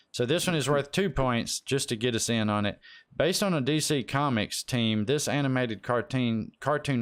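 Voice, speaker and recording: This man has an unremarkable speaking voice, moving at a fairly quick pace with lively intonation in a very clean recording with a silent background. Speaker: game show host in a roleplay server. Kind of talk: trivia game show host. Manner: casual, joking, profane.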